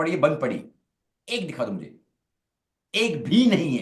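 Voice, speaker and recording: A man with a high-pitched voice talks amid audible room echo. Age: 50s. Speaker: network marketing business leader. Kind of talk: online Q&A session. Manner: halting, many repetitions.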